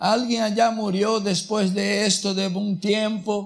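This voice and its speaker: A man with a non-native accent speaks very slowly in a high voice. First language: not Spanish (speaking Spanish). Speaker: rabbi. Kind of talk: sermon. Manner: halting, self-correcting.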